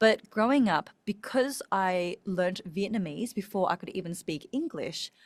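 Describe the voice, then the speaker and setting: Spoken with an Australian accent, the voice shows ordinary pitch variation in a dry, close sound with no echo. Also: woman. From Australia, Melbourne. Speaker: speaking coach. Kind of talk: podcast interview.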